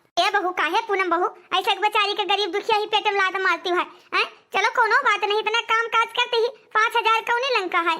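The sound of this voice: A woman puts on a cartoonish character voice at an extremely high pitch, talking fairly quickly with fairly even intonation.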